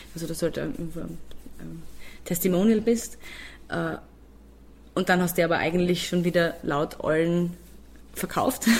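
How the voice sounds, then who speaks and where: The voice has vocal fry and ordinary pitch variation, broken by long, frequent pauses. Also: woman, fairly low pitch for a woman, moderate pace. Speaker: singer and music producer. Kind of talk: interview.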